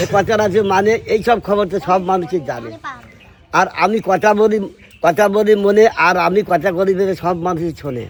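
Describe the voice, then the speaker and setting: His voice is high in pitch. A man speaks with ordinary pitch variation. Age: 70s. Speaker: farmer. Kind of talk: improvised rhyming verse.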